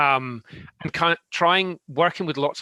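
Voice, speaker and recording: In a Scottish accent, a man speaks with fairly even intonation, the sound dry and close with no echo. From Scotland. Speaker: tech consultant. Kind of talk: panel discussion.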